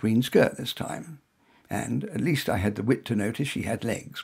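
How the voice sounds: A man with a slightly mellow, husky voice with a rough edge and vocal fry speaks at medium pitch and a moderate pace with lively intonation.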